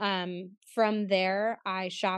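In a dry, close sound with no echo and a quiet background, a woman uses an ordinary speaking voice at a medium pitch with fairly even intonation. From Pittsburgh, US. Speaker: personal stylist and color analyst. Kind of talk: casual interview chat.

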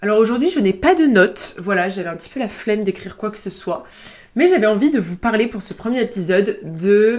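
Talking at a fairly quick pace, a woman with a fairly high pitch uses lively intonation and big swings in loudness. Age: 20s. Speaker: student podcaster. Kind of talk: casual monologue. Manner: hesitant.

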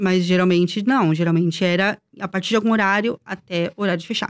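A woman speaks at a very fast pace. The recording is very clean with a silent background, and the sound is dry and close with no echo. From Brazil. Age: 30s. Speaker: former theme park worker. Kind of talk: casual chat.

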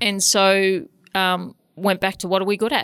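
Medium pitch from a woman, on a very clean recording against a silent background. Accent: Australian. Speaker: CEO of a health organisation, keynote speaker. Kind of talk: interview.

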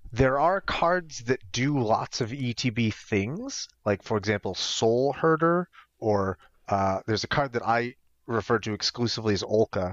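An unremarkable speaking voice, a man with an American accent, medium pitch, ordinary pitch variation and a moderate pace. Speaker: podcast co-host. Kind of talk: casual chat.

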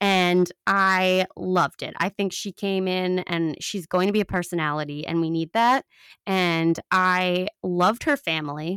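A woman with a New York accent speaks at a fairly slow pace in an animated tone. The recording is very clean, with a silent background. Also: medium pitch for a woman, dry, close sound with no echo. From Long Island, New York. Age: 30s. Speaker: podcast host. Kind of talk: casual solo commentary.

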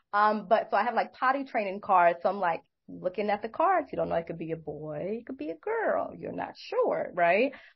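The speech moves at a moderate pace with hardly any pauses and big swings in loudness. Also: woman. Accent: American. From Brooklyn, New York. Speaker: behavior analyst and clinical director. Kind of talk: casual interview.

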